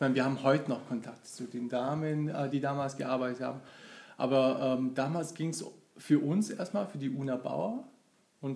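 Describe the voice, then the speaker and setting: He has an ordinary speaking voice, pitched fairly high for a man, with ordinary pitch variation. The pace is moderate. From Germany, local to the company's town. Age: 40s. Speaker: long-time employee of an IT company. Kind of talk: casual interview.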